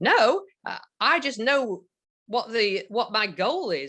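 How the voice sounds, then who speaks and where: A woman's bright, sharp voice at a very slow pace, with very wide pitch swings. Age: 60s. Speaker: arthritis patient, program client. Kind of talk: testimonial interview. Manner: halting, many fillers and repetitions.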